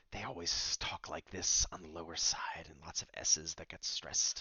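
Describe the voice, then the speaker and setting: A man whispers in a put-on character voice at a moderate pace. There is hissing in the sound. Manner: stressed sibilant S sounds.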